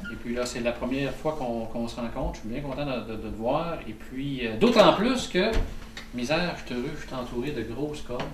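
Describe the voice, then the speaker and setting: Someone with a Quebec accent talks at a fairly quick pace with ordinary pitch variation, over noticeable background noise and audible room echo. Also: man, medium pitch for a man. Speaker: hunter and video maker. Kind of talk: casual vlog and interview. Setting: outdoors in snowy woods. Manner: hesitant, many fillers; loud.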